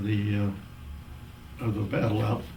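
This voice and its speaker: Noticeable background noise is present in this clip. The speaker is a man with an American accent. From Missouri, USA. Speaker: war veteran. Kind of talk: interview answer.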